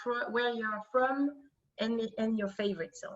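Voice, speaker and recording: A woman speaks with a French accent. Her voice is somewhat breathy. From France. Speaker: career coach. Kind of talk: online workshop presentation. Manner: halting, many fillers.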